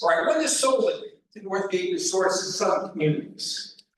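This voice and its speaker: A man at a moderate pace, his pitch swinging very widely, with audible room echo. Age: 70s. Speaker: retired campground owner, public commenter. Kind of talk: public comment. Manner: blunt, emphatic.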